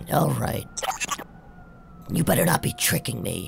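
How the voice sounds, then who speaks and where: A man does a put-on character voice at medium pitch and a moderate pace. Background noise is clearly audible. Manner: casual, wisecracking, cocky.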